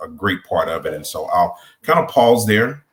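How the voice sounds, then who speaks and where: A man talks with a Southern US accent. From Mississippi. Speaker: college administrator and former voiceover artist. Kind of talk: panel discussion.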